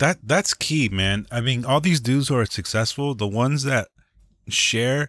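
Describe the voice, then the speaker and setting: A man with an unremarkable speaking voice talks fairly quickly at medium pitch, with lively intonation. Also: dry, close sound with no echo. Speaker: podcast host. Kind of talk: casual chat. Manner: casual, slangy.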